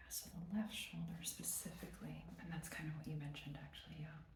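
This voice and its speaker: A put-on character voice, mumbling at a fairly quick pace. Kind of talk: casual, working talk.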